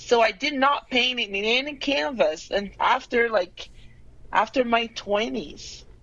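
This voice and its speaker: Speaking at a fairly slow pace, a woman talks with a Brazilian Portuguese accent. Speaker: painter. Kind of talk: interview.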